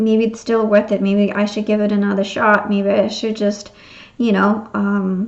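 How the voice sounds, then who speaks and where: A woman speaks at a medium pitch in a monotone with flat intonation. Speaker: tarot reader. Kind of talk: tarot reading. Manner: fast; hesitant, many fillers.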